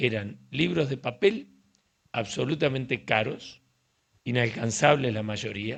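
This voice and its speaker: A man with an unremarkable speaking voice talks at a fairly slow pace. His intonation is lively. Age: 60s. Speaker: urology professor. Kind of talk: casual interview conversation.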